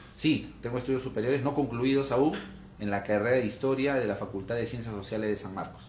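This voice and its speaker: Somewhat breathy and at a fairly quick pace, a man speaks with fairly even intonation in a room with audible echo. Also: medium pitch for a man. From Peru, Lima. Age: 30s. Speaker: political candidate. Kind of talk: interview. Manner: hesitant fillers.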